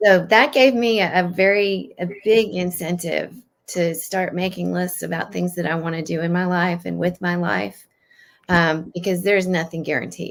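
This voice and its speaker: A normal speaking voice from a woman, fairly low in pitch, with fairly even intonation at a moderate pace. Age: 60s. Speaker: yoga teacher. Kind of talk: interview.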